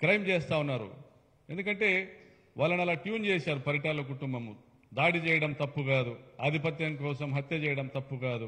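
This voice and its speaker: With a bright, sharp tone and fairly high pitch, a man speaks with ordinary pitch variation over a quiet background. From Andhra Pradesh. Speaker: politician, state legislator; politician. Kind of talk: press conference speech. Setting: press meet with media. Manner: animated, combative; halting, phrase by phrase. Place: meeting room. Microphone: podium.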